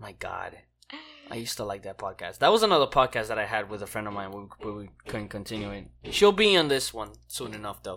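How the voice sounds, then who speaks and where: With a plain, everyday voice, a man talks at a fairly quick pace and fairly low pitch, his loudness swinging widely and his pitch varying in an ordinary way. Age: 20s. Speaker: podcast co-host. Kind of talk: casual chat. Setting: at home.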